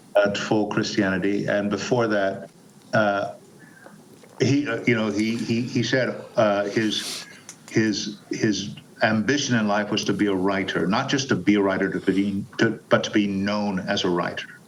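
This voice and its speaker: A man's fairly low voice at a fairly slow pace, fairly even in intonation, amid noticeable background noise. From Panama. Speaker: actor and narrator. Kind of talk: interview answer.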